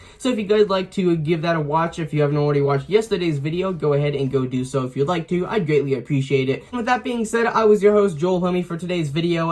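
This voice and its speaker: Over noticeable background noise, a man with a high pitch races along at a very fast pace, his intonation lively and his speech with hardly any pauses. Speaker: YouTuber, RC hobbyist. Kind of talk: casual vlog recap. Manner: filler-heavy, hesitant.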